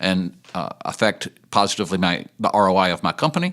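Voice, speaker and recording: With lively intonation and an unremarkable speaking voice, a man talks at a moderate pace. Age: 60s. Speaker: addiction ministry leader. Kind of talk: podcast interview.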